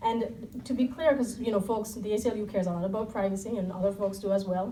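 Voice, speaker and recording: Noticeable background noise and audible room echo fill the recording. A woman speaks at a very fast pace. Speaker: civil liberties policy director. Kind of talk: panel talk. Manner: soft-spoken.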